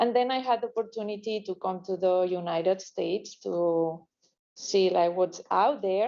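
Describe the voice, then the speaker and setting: A woman with a Spanish accent and a dark, mellow tone. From Spain. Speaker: criminologist consultant. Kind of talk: business presentation. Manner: halting, many fillers.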